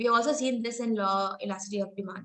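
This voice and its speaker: A woman speaks with an Indian accent. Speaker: professor. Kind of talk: lecture. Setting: online lecture with screen share.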